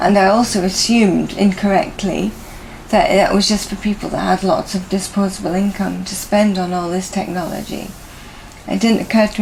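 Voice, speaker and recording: A woman with a British accent talks fairly quickly in a medium pitch, her intonation monotone and flat, with noticeable background noise behind her. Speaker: person living with motor neurone disease. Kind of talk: interview. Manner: halting.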